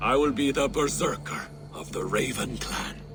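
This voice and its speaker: Loud music plays in the background as a man speaks at a moderate pace and medium pitch. He uses a put-on character voice. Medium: video game. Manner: grave, heavy.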